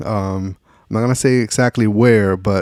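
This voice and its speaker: A soft-spoken voice at a fairly slow pace with fairly even intonation, in a very clean recording with a silent background and a dry, close sound with no echo. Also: man. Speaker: podcast co-host. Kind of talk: casual chat. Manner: soft-spoken, lowered voice; naturally loud.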